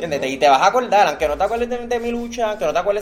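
A man talks at a very fast pace. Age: 20s. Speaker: professional wrestler and teacher. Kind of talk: interview.

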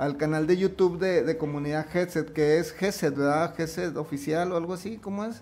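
A man is speaking. His pace is moderate. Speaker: podcast host and musician. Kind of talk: casual chat.

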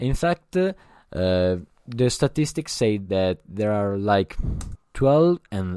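Very slowly, a man with a dark, mellow tone speaks in a dry, close sound with no echo and a very clean recording against a silent background. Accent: Italian. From Italy. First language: Italian. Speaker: podcast host. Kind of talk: solo podcast monologue. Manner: halting, many fillers.

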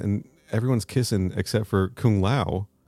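The delivery keeps a moderate pace, its pitch varying in an ordinary way. Behind it, music is playing. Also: man. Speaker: podcast co-host. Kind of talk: reading aloud own fan fiction.

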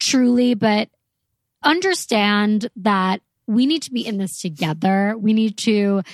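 A woman talks in a plain, everyday voice at a fairly slow pace and fairly high pitch with ordinary pitch variation. The sound is dry and close with no echo over a quiet background. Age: 20s. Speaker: podcast co-host. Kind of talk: casual chat.

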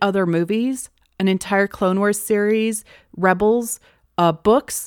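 A woman speaks at a fairly slow pace in a medium pitch, in an ordinary speaking voice. The sound is dry and close with no echo, in a very clean recording with a silent background. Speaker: podcast host. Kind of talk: casual analysis chat.

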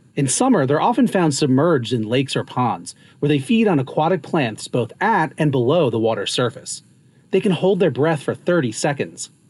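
A man with a fairly high pitch, very wide pitch swings and very even loudness. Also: moderate pace. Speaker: naturalist. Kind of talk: nature documentary narration. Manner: measured, informative, even-toned.

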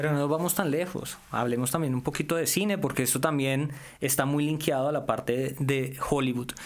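A normal speaking voice holds a very even loudness with fairly even intonation. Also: man, fairly high pitch for a man, moderate pace. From Colombia, Valle del Cauca. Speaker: tech commentator. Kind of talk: casual chat.

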